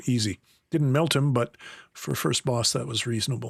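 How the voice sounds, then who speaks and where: A man speaks with a Canadian accent in a plain, everyday voice at medium pitch with ordinary pitch variation. The recording is very clean with a silent background and a dry, close sound with no echo. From Canada. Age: 60s. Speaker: video game streamer. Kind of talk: gameplay commentary with tutorial tips. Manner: casual, relaxed.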